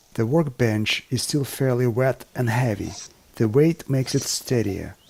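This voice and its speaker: Noticeable noise sits in the background. The man's pitch varies in an ordinary way. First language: not English. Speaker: woodworking and bushcraft video maker. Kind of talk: scripted narration. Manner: formal.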